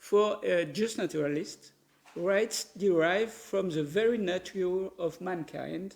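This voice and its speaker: Speaking very slowly, a man with a high pitch and ordinary pitch variation talks with a French accent. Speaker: professor of legal philosophy. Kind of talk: lecture. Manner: reading from a paper, formal.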